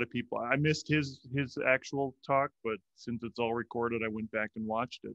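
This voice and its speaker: A man's ordinary speaking voice at a moderate pace with ordinary pitch variation. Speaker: podcast host. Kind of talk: casual interview.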